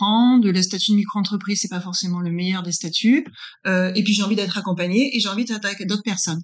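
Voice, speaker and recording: Talking very fast, a woman keeps a medium pitch and fairly even intonation. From northern France. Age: 40s. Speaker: business consultant. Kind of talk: interview. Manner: hesitant, many fillers.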